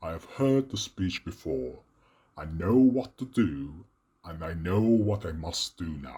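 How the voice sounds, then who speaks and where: This is a man doing a cartoonish character voice, pitched very deep and low. He talks at a fairly slow pace. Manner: calm, measured.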